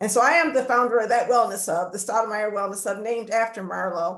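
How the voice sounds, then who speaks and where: Talking at a fairly quick pace, a woman has a plain, everyday voice at a fairly high pitch with ordinary pitch variation. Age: 60s. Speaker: community wellness center founder. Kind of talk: webinar panel talk.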